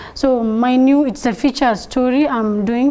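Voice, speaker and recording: Noticeable background noise behind a woman's high pitch and fairly even intonation. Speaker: blogger and social media enthusiast. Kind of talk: TV talk show interview.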